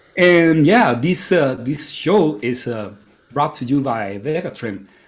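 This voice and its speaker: Lively intonation from a man, over noticeable background noise. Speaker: podcast host. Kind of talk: casual chat. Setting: live stream.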